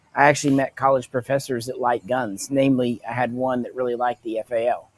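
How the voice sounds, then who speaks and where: Here a man talks at a fairly quick pace with a medium pitch. His intonation is monotone and flat, and the sound is dry and close with no echo. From US South, Arkansas Ozarks. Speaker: firearms history YouTuber. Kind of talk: casual chat.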